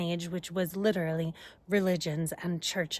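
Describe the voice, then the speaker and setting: A woman's medium-pitched, unremarkable speaking voice at a moderate pace. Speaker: astrologer and energy healer. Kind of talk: casual talk to camera. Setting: outdoors. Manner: conversational, spiritual.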